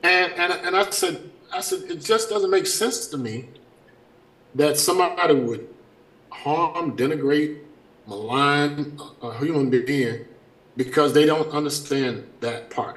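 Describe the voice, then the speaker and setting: Amid audible room echo and noticeable background noise, a man speaks at a fairly slow pace with long, frequent pauses. His fairly high voice has lively intonation. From US South (small town called Farmville). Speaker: education advocate and board of education member. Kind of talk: casual interview.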